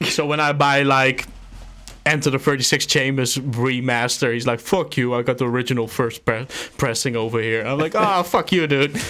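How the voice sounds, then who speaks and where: On a very clean recording with a silent background, a man with a Dutch accent speaks at a moderate pace and medium pitch, his bright, sharp tone showing ordinary pitch variation. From Netherlands. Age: 30s. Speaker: beatmaker and label founder. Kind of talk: casual chat.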